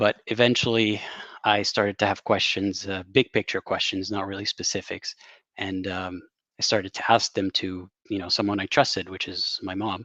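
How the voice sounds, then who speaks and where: In a dry, close sound with no echo, a man with a bright, sharp tone speaks at a moderate pace with monotone, flat intonation. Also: fairly low pitch for a man, quiet background. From Saudi Arabia. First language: Arabic. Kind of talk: interview. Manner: halting, many fillers.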